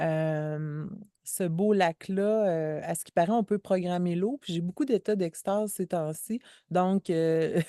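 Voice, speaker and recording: A dark, mellow tone at a very slow pace, with ordinary pitch variation and big swings in loudness, in a dry, close sound with no echo and a quiet background. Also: woman, fairly low pitch for a woman. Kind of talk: casual conversation. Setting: outdoors by a lake.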